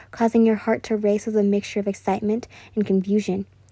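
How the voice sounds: Natural voice, reading a text aloud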